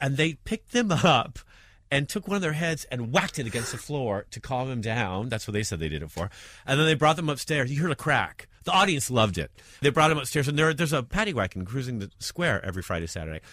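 A man with an American accent speaks very fast at a medium pitch, his tone bright and sharp with vocal fry. His pitch swings very widely, and the recording is very clean with a silent background. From New York. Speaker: stand-up comedian. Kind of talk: interview.

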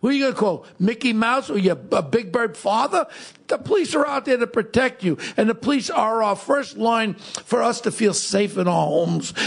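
An animated man with a New York accent speaks at a moderate pace in a high pitch, with lively intonation and very even loudness, over noticeable background noise. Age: 60s. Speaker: podcast host, former police officer. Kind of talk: casual chat. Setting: studio.

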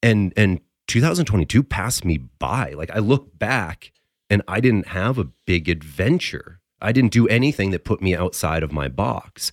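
A man's fairly low voice with vocal fry and very wide pitch swings, at a moderate pace, in a dry, close sound with no echo. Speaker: coach and podcast co-host. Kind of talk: casual chat. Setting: studio.

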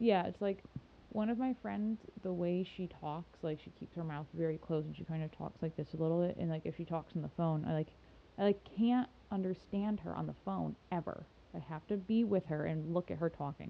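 A woman with an unremarkable speaking voice talks at a fairly low pitch and a fairly quick pace, with ordinary pitch variation. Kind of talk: casual chat.

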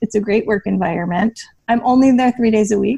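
Using an ordinary speaking voice, a woman talks at medium pitch with ordinary pitch variation. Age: 30s. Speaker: personal finance blogger. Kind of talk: casual chat.

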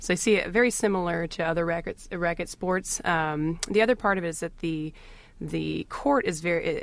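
Pitched fairly low, a woman with a normal speaking voice varies her pitch in an ordinary way. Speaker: orthopedic doctor. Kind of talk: radio interview. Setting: studio.

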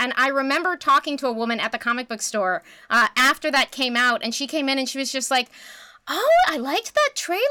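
In a raised, projected voice, a woman speaks fairly quickly at a high pitch with a bright, sharp tone and a dry, close sound with no echo. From Canada. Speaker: podcast guest, comics commentator. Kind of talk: casual chat.

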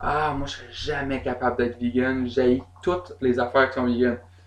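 This man speaks with a Quebec accent. His pitch sits in the medium range. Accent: Québécois French. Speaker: singer and bassist, festival programmer. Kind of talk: casual chat. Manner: animated.

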